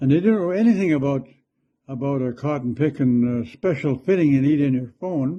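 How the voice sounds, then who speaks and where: Speaking with a Canadian accent, a man has a dark, mellow tone and fairly high pitch. His pace is moderate, with ordinary pitch variation. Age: 80s+. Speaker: elderly commentator. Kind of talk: video monologue, political rant. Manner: rambling, repetitive with hesitations.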